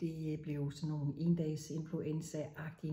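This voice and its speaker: Flat and monotone, a woman's voice sits very deep and low in pitch. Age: 60s. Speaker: menopause speaker sharing personal experience. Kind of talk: personal talk to camera. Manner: halting.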